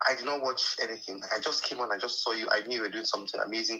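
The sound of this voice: Very fast and fairly even in intonation, the voice has a bright, sharp tone. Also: man, fairly low pitch for a man.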